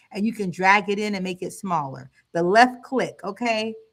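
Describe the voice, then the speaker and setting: A woman speaks fairly slowly in an animated tone, her medium pitch showing ordinary variation. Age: 40s. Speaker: trading educator and livestreamer. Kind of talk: live trading tutorial stream. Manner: slow, step by step.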